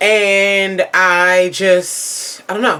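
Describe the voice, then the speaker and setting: A woman speaks with an American accent. Noticeable background noise sits behind her voice. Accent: Baltimore accent, sometimes noticeable. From Baltimore, Maryland. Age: 20s. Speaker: beauty YouTuber. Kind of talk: casual chat to camera. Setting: home, filming herself.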